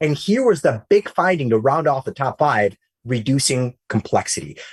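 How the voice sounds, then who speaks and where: A man speaks in an animated tone, somewhat breathy. The sound is dry and close, with no echo. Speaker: tech journalist hosting webinar. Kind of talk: webinar interview. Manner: fast.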